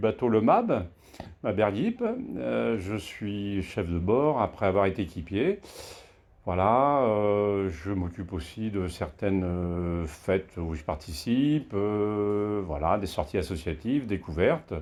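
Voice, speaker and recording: A man's fairly low voice with lively intonation at a very slow pace. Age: 60s. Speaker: association board candidate, boat skipper. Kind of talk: self-introduction video. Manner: hesitant, many fillers.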